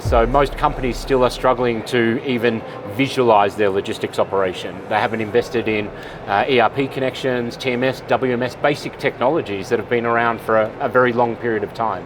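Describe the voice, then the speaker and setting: Over noticeable background noise, a speaker with an Australian accent talks at a fairly quick pace with fairly even intonation. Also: man, medium pitch for a man. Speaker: supply chain expert, conference keynote speaker. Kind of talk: interview. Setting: conference expo floor.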